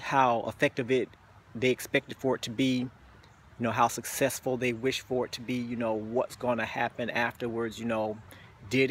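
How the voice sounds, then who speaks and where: Over light background noise, a man speaks in a monotone, flat way, the sound dry with no echo. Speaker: vlogger. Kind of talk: casual vlog chat. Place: garden. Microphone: phone near.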